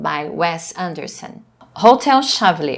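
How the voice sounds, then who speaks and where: The speaker is a woman. She has a Portuguese accent. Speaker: professor. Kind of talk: lecture. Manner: halting.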